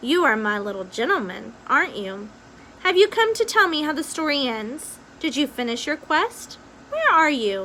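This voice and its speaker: Using a put-on character voice, a woman speaks high with very wide pitch swings at a moderate pace. Clear background noise can be heard. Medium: read story.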